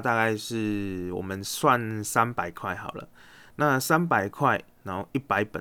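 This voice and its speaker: A man speaks with a Taiwanese accent and lively intonation. The recording is very clean, with a silent background. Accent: Taiwanese Mandarin. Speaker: investing podcast host. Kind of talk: solo podcast monologue. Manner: casual with many fillers.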